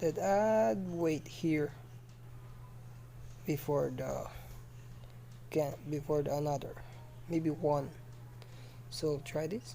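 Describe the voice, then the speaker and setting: A woman speaks at a very slow pace. Long, frequent pauses fill her speech. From Philippines. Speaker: game development tutorial youtuber. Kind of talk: screen-recorded tutorial. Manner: halting, many fillers and restarts.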